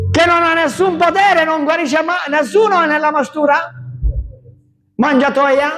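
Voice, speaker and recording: A loud, shouting man at an extremely high pitch, animated in tone, at a fairly slow pace with long, frequent pauses and audible room echo. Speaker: pastor. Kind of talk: sermon.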